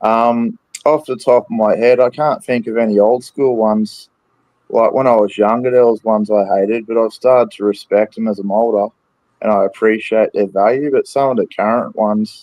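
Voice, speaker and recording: This man speaks at a moderate pace with medium pitch and fairly even intonation, in an Australian accent. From Australia, Brisbane, Queensland. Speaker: wrestling fan podcast guest. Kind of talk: casual chat. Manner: hesitant, many fillers.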